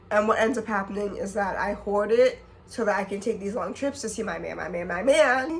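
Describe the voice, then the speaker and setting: The woman speaks at a fairly quick pace and a medium pitch, with ordinary pitch variation and noticeable background noise behind her. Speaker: vlogger. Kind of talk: casual vlog talk to camera.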